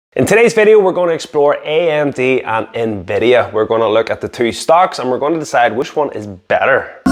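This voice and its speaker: A man's fairly high voice at a fairly quick pace, with very wide pitch swings and hardly any pauses. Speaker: stock market YouTuber. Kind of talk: casual explainer to camera. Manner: fast.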